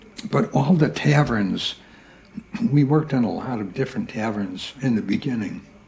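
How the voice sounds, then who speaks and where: A man with an American accent and a medium-pitched voice, very wide pitch swings and a moderate pace, over noticeable background noise. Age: 80s+. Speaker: veteran working musician. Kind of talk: interview reminiscence.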